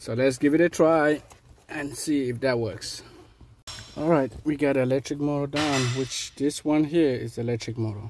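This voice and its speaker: A man's voice sits at medium pitch. He keeps a moderate pace, with ordinary pitch variation. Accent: West African. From West Africa. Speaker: auto mechanic. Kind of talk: tutorial. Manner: casual, hesitant with fillers.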